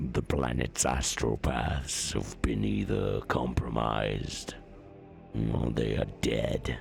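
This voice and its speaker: A man speaks very slowly in a put-on character voice, with clear music playing in the background. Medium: read story.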